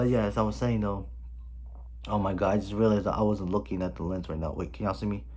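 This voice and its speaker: A man talks very fast in a very deep, low voice, his pitch swinging very widely. Audible room echo surrounds his speech. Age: 20s. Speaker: vlogger. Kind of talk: personal vlog. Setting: home, filming on camera. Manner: animated.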